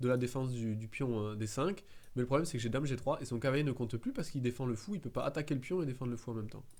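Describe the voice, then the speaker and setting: The speaker has a southern French accent and ordinary pitch variation. The recording is very clean, with a silent background. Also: man. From southern France. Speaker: chess streamer. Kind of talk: live game commentary. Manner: halting, many fillers and repetitions.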